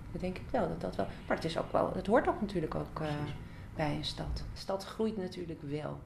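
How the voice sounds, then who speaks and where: The speech moves at a fairly quick pace. Background noise is noticeable. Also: woman. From Amsterdam, Netherlands; Netherlands. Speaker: interviewee. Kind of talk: interview. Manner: halting, many fillers. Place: studio.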